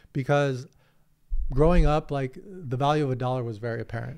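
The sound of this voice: With an American accent, a man talks at a fairly quick pace in a medium pitch, his slightly mellow tone showing vocal fry and ordinary pitch variation.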